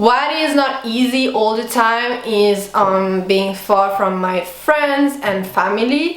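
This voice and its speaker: Speaking very slowly in a French accent, a woman uses lively intonation at a fairly high pitch, with noticeable background noise and audible room echo. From Switzerland. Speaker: veterinary student. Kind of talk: vlog monologue. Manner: casual, many fillers.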